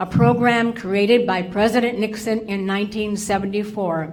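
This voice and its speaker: A woman with an American accent speaks at a moderate pace in a fairly high pitch with fairly even intonation, with audible room echo and noticeable background noise. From Wisconsin. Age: 70s. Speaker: social worker. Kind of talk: testimony. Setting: public hearing with microphone.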